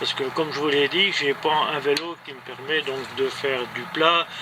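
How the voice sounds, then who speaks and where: Over noticeable background noise, a man with a fairly high pitch speaks fairly slowly in a monotone, flat intonation. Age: 70s. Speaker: amateur cyclist and runner vlogger. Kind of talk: casual vlog monologue. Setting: indoors in a greenhouse, rain on roof. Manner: halting, many hesitations.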